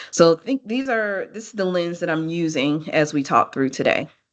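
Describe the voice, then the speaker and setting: Someone with an American accent speaks at a moderate pace in an ordinary speaking voice. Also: woman. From United States. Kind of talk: lecture.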